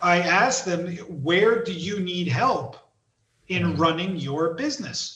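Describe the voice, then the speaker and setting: Very slowly, a man with a New Jersey accent speaks at a high pitch with ordinary pitch variation. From US East Coast, New Jersey. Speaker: entrepreneur and author. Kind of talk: casual interview.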